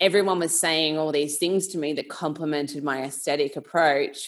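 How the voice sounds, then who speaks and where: Speaking in an Australian accent, a woman has a very deep, low pitch. She keeps a moderate pace and fairly even intonation. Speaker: nutrition coach. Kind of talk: casual chat.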